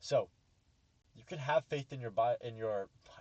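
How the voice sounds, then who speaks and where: Somewhat breathy and medium in pitch, a man's voice comes through dry and close with no echo. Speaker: trading educator, YouTuber. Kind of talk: lecture. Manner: fast; halting, self-correcting.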